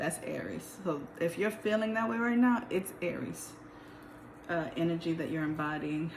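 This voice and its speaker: Against noticeable background noise and audible room echo, a woman speaks at a fairly low pitch with ordinary pitch variation. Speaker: tarot reader. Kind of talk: tarot reading. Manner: casual.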